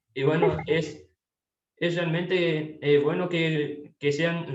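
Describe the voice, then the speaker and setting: This man's fairly high voice stays monotone, with flat intonation throughout. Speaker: interviewer. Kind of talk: interview questions, casual.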